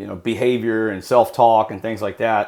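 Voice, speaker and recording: A man's fairly quick speech is captured in a very clean recording with a silent background. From Texas. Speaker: former drug smuggler turned recovery coach. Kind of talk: interview. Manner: halting, many fillers and repeats.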